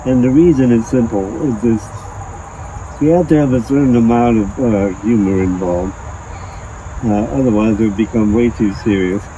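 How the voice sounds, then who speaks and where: There is noticeable background noise around a dry recording with no echo. A man speaks at a moderate pace. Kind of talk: interview answer. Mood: wry, lightly humorous.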